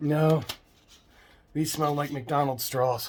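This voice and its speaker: A man talks with fairly even intonation and a somewhat breathy sound. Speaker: art supply reviewer, channel host. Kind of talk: product review. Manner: casual, halting with fillers.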